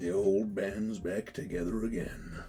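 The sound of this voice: Over clear background noise, a man puts on a character voice, fairly low in pitch, at a moderate pace.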